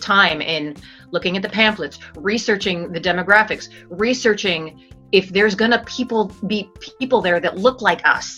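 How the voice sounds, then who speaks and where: A woman's medium-pitched voice at a moderate pace, with a General American accent, ordinary pitch variation and music in the background. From Arizona. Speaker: actor and voice over artist. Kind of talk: interview answer. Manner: thoughtful, hesitant.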